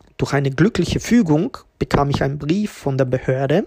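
With a dry, close sound and no echo, a man speaks slowly in a somewhat breathy, fairly high voice, his pitch varying in an ordinary way. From Tirol, Austria (refugee from ex-Yugoslavia at age six). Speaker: podcast host, entrepreneur. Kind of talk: personal storytelling monologue.

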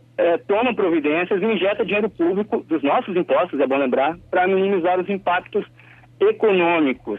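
This man speaks at a moderate pace with a high pitch, very even loudness and ordinary pitch variation. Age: 30s. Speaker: political commentator. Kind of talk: radio commentary.

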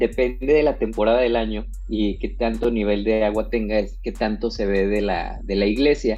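Pausing hardly at all, a man keeps a moderate pace. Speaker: wedding photographer. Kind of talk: casual interview. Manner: hesitant, many fillers.

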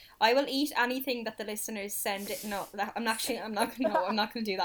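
Over noticeable background noise, a woman talks at a very fast pace in a fairly high pitch. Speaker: podcast co-host. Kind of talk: casual chat.

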